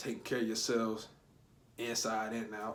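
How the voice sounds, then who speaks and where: Speaking at a fairly quick pace, a man uses an animated tone and a fairly low pitch. Audible room echo surrounds his voice. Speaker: spiritual YouTuber. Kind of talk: casual vlog monologue. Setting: at home, someone sleeping nearby. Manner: quieter than usual; casual, animated.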